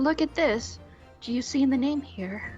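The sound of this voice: A put-on character voice speaks at a fairly high pitch and moderate pace. Clear music plays in the background.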